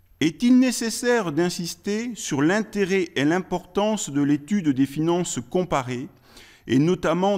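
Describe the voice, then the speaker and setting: A man with a high pitch at a fairly slow pace against a quiet background. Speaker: law professor. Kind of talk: conference speech. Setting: stage with audience. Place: meeting room. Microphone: podium.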